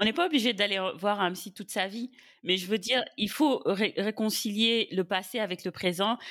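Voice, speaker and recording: At a moderate pace, a woman speaks in a normal speaking voice, her medium pitch moving with ordinary variation. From Senegal. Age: 30s. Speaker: podcast guest. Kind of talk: casual chat.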